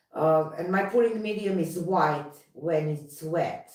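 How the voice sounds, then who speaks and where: Speaking with a non-native accent, a woman is heard. She talks at a very slow pace. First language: not English. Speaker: fluid artist. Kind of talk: live stream chat. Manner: halting.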